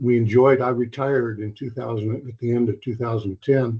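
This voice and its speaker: A man speaks at a medium pitch and a moderate pace. His voice is somewhat breathy, and his intonation is monotone and flat. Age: 70s. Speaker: retired civil engineer, public commenter. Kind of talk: public comment testimony.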